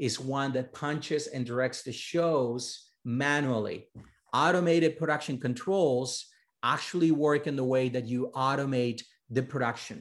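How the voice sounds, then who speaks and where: Speaking with a Spanish accent, a man uses ordinary pitch variation. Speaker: journalism professor. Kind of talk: lecture. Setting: video call. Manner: animated.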